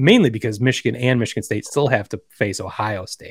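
Over a very clean recording with a silent background and a dry, close sound with no echo, a man with an American accent uses an ordinary speaking voice, talking at a fairly quick pace with ordinary pitch variation. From US Midwest. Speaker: podcast host. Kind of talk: casual chat.

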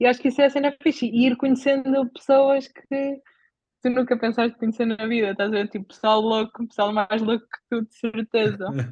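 In a European Portuguese accent, the voice keeps a fairly even intonation while its loudness swings widely. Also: woman, fairly high pitch for a woman, moderate pace. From Portugal. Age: 20s. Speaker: bicycle traveller. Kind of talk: casual chat.

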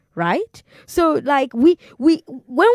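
The voice carries a Nigerian accent and has a dry, close sound with no echo. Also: woman. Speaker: radio host. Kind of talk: call-in radio talk show.

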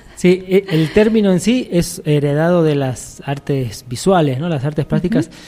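A man speaks with an Argentine accent at a moderate pace. His fairly high voice has a dark, mellow tone and lively intonation. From Argentina. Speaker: musician and arts curator. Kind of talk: radio interview.

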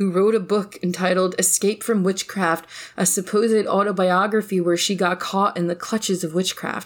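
Here is an unforced reading voice. Its intonation is fairly even.

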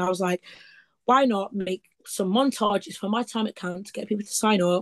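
Fairly high-pitched and animated, a woman with an East Midlands accent speaks at a fairly quick pace, in a dry, close sound with no echo. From Leicester, East Midlands, England. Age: 20s. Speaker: summer camp counselor and travel content creator. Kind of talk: casual interview chat.

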